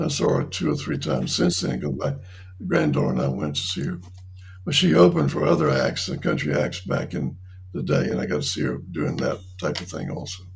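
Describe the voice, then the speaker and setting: With a North Carolina accent, a man talks at a fairly quick pace in a very deep, low pitch with ordinary pitch variation, amid audible room echo and noticeable background noise. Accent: US Southern (North Carolina). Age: 70s. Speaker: retirement community resident. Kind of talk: interview. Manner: halting.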